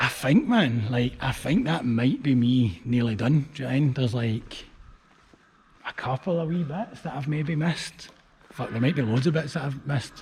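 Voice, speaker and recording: This man speaks with a Glaswegian accent. His pitch is medium and his pace moderate. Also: ordinary pitch variation. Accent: Glaswegian Scottish. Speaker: street art vlogger. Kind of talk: casual walking vlog commentary. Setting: outdoors, walking through abandoned factory. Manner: casual, swearing-heavy chatty.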